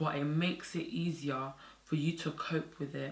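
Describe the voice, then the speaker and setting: A woman speaks fairly slowly at a very deep, low pitch. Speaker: YouTuber promoting therapy service. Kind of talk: direct-to-camera monologue. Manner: monotone.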